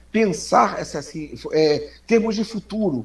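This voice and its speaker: An animated man's voice with very wide pitch swings over noticeable background noise. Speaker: social media commentator. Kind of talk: casual chat.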